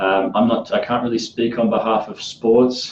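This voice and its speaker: His speech carries an Australian accent. The man keeps a moderate pace. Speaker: podcast host, clinical trials worker. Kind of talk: casual podcast chat.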